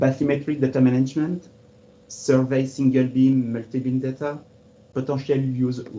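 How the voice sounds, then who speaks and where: Speaking at a moderate pace in a French accent, a man has a medium-pitched voice with a dark, mellow tone and monotone, flat intonation. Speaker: cartographer. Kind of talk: webinar presentation. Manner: formal.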